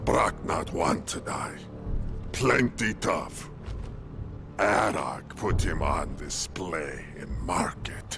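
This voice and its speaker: Whispering in a put-on character voice at a very slow pace, a man speaks over loud music in the background. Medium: machinima. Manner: broken, clipped speech.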